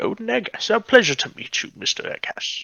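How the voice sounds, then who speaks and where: A man in a put-on character voice at a fairly quick pace. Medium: actual play. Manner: hesitant, wordy and lecturing.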